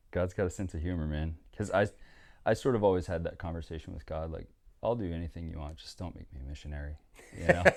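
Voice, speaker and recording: On a very clean recording with a silent background, a man with a very deep, low pitch speaks at a fairly quick pace, with ordinary pitch variation and long, frequent pauses. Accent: American. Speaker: missionary and surfer. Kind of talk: casual chat.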